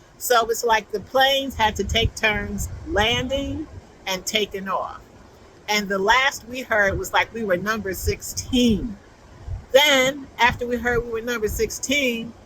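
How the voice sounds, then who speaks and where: A woman speaks at a fairly slow pace with a fairly high pitch and ordinary pitch variation over noticeable background noise. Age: 70s. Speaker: crochet vlogger. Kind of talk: casual chat. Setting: outdoors. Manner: chatty, conversational.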